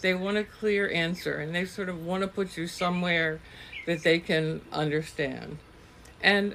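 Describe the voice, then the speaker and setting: A woman's voice amid noticeable background noise. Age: 60s. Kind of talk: personal reflective talk to camera.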